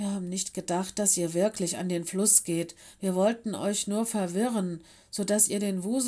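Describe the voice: Plain reading aloud unfolds with fairly even intonation.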